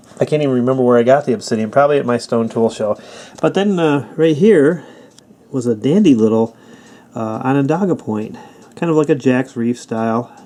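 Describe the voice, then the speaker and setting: Man at medium pitch, fairly quick and lively in intonation, over noticeable background noise. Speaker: flintknapper. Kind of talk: casual talk to camera.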